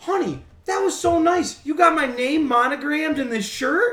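Someone puts on a character voice in a Maine accent, pitched high and delivered at a moderate pace.

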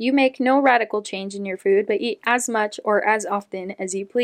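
An unforced reading voice. Pitch varies in an ordinary way.

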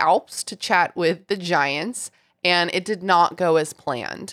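A woman with an ordinary speaking voice talks at a fairly low pitch and a fairly slow pace. The recording is very clean, with a silent background. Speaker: podcast host.

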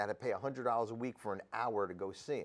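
Speaking at a fairly quick pace with a New Jersey accent, a man keeps a medium pitch and ordinary pitch variation in a very clean recording with a silent background. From New Jersey (Sayreville). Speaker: addiction recovery podcaster and treatment program worker. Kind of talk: casual interview, recovery story.

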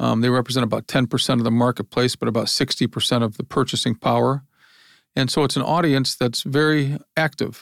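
A man with a Midwestern American accent and a medium pitch talks at a fairly quick pace with very even loudness and fairly even intonation, in a dry, close sound with no echo on a very clean recording with a silent background. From Ohio, US Midwest. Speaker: business founder and publisher. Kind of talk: interview conversation.

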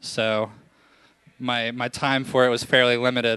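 With a bright, sharp tone, a man at a medium pitch talks at a fairly slow pace. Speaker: reporter and storyteller. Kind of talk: live storytelling, comedic.

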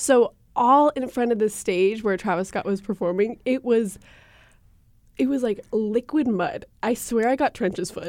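At a fairly slow pace, the speaker uses a plain, everyday voice with ordinary pitch variation. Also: woman, fairly high pitch for a woman. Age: 20s. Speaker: podcast co-host. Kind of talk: casual chat.

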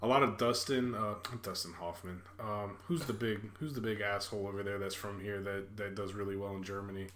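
The speaker is a man with a fairly low pitch. Noticeable background noise runs behind him. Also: fairly even intonation. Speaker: podcast host. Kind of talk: casual chat.

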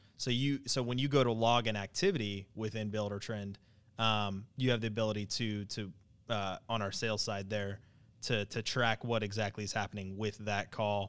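In a very clean recording with a silent background, a man with a normal speaking voice talks at a moderate pace, with a fairly low pitch and fairly even intonation. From Wyoming, US. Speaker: customer support specialist. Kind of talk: casual chat.

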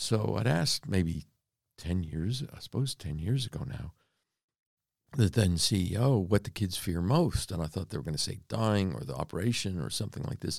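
With an American accent, a man speaks at a very deep, low pitch with vocal fry and lively intonation. The sound is dry and close, with no echo. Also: moderate pace. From US, Florida (born Pennsylvania), later Canada. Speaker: mining company founder. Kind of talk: interview.

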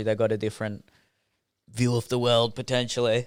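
On a very clean recording with a silent background, a man with a medium pitch speaks at a fairly quick pace. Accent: Australian. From Australia. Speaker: podcast guest. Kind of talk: casual chat.

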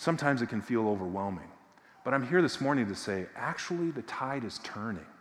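With audible room echo, a man talks at a very fast pace using lively intonation. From Massachusetts, near Boston. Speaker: visiting preacher from a justice nonprofit. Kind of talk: sermon.

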